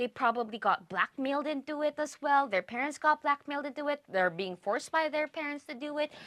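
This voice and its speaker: At a fairly quick pace, a woman speaks in a high pitch with an animated tone. Her pitch variation is ordinary. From Philippines. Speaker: reaction youtuber. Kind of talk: casual reaction commentary. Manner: halting, self-correcting.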